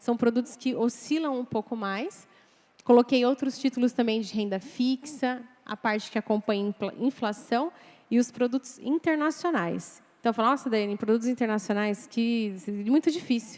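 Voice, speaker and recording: Her voice is high-pitched, with ordinary pitch variation at a moderate pace. The woman's sound is dry and close, with no echo. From Brazil, Mogi das Cruzes, São Paulo. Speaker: financial planner. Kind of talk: lecture.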